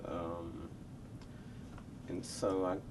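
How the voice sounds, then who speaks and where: Audible room echo surrounds a man speaking with a Memphis accent. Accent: Southern US (Memphis). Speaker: record producer. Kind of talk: interview.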